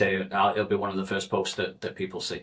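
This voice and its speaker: A man with a Mancunian accent speaks with ordinary pitch variation. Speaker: recruiter, one-person business owner. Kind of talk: casual chat. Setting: studio.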